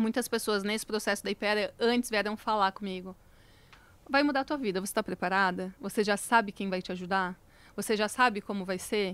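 A woman talking at a very fast pace, with a dry sound and no echo. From Santa Catarina, Brazil (Lages); Santa Catarina, Brazil. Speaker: founder of a cosmetics brand; podcast guest. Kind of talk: casual interview chat. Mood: reflective, warm. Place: studio. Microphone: studio mic.

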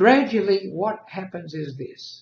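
Male speech carrying audible room echo. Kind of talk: casual vlog chat. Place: home room. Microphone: webcam.

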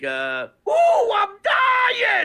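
A man shouting in a put-on character voice, pitched extremely high. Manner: unhinged, over the top; dying, dramatic.

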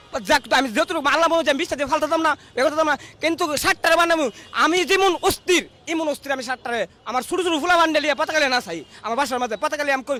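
A man projects his voice loudly at an extremely high pitch, with an animated tone and lively intonation. The sound is dry and close with no echo, though there is noticeable background noise. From Bangladesh, Brahmanbaria. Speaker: rickshaw puller and party activist. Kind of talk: street interview.

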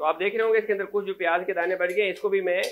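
The voice has a fairly bright tone and ordinary pitch variation. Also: man.

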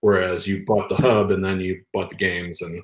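Speaking at a very fast pace with a very deep, low pitch, a man comes through over light background noise. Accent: American. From Michigan. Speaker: former toy and game product manager. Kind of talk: interview. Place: home room. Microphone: video call.

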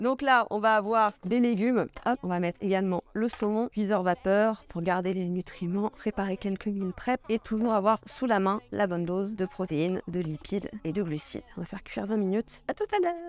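Speaking at a medium pitch with hardly any pauses, a woman is heard in a dry sound with no echo. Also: ordinary pitch variation, moderate pace. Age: 20s. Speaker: fitness youtuber. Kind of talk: tutorial. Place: kitchen.

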